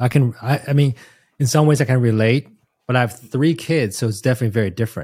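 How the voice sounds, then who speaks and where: A somewhat breathy voice with a dark, mellow tone. The recording is very clean, with a silent background. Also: man. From Taiwan. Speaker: podcast host. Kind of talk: casual interview.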